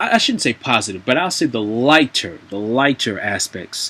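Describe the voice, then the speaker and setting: Fairly slow speech from a man with a bright, sharp tone. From US South, North Carolina. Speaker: vlogger, English teaching assistant in Japan. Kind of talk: casual vlog monologue. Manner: hesitant, many fillers.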